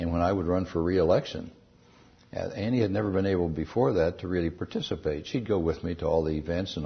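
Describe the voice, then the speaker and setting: A man with a very deep, low voice and ordinary pitch variation talks at a very fast pace, sounding somewhat breathy. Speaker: astronaut and former senator. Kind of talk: interview answer.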